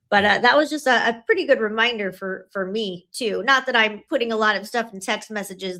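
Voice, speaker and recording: A woman talks at a fairly quick pace in a bright, sharp tone. The recording is very clean with a silent background. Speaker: family law attorney. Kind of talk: casual chat. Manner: fast; animated.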